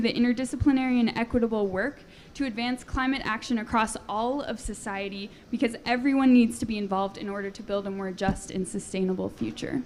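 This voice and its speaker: A woman talks at a fairly quick pace in an unremarkable speaking voice with a fairly high pitch. Her intonation stays fairly even while her loudness swings widely. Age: 20s. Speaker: panel moderator. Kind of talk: panel discussion. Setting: conference panel.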